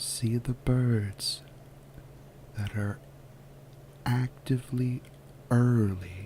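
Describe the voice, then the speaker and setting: A soft-spoken man talks very slowly in a calm tone with fairly even intonation. Noticeable background noise runs underneath. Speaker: ASMR guided visualization narrator. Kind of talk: guided relaxation visualization. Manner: soft-spoken, calm.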